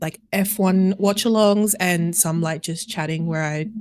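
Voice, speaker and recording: A woman with an Australian accent speaks at a fairly slow pace, with a fairly low pitch and fairly even intonation. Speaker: variety streamer. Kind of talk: casual chat.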